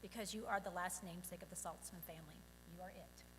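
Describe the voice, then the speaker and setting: A woman talks at a very fast pace. Vocal fry runs through her voice. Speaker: parent of bar mitzvah boy. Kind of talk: prepared speech. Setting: synagogue service.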